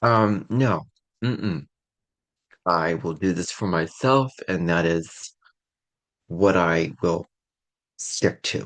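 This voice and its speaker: A man speaks at a very deep, low pitch and a very slow pace with long, frequent pauses. His pitch variation is ordinary, and the background is quiet. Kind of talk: podcast monologue. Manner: casual, hesitant.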